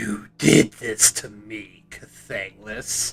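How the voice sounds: A man in a put-on character voice with a menacing tone, music in the background.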